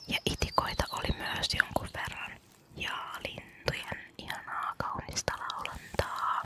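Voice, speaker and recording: Very slow whispering from a woman, noticeable background noise beneath. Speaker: ASMR creator. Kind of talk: ASMR my day vlog, whispered talk to camera. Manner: whispered, soft, repetitive triggers.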